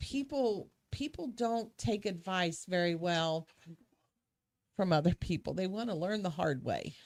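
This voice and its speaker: A woman with a normal speaking voice talks at a fairly slow pace with lively intonation. The recording is very clean, with a silent background. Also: medium pitch for a woman. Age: 60s. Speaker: real estate agent. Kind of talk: casual chat.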